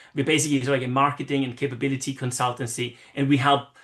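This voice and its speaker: With an Austrian accent, a man speaks at a medium pitch. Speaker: marketing consultant. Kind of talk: interview. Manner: animated.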